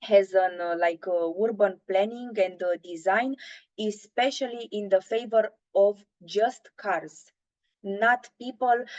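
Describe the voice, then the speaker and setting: A woman with a Romanian accent, medium in pitch and fairly slow in pace. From Romania, Bucharest. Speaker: intern presenting at a webinar. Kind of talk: webinar presentation. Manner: halting, many filler sounds.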